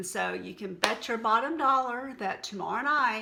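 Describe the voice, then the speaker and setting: A woman with a Texan accent, a bright, sharp tone and a moderate pace. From Texas. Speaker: health and wellness vlogger. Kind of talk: casual vlog talk to camera. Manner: conversational, unscripted.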